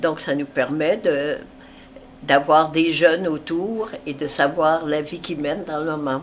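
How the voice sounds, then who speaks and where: Fairly even intonation marks this very slow speech. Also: woman, very deep, low pitch for a woman. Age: 80s+. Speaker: retired amateur theatre actress. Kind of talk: interview. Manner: halting, many hesitations.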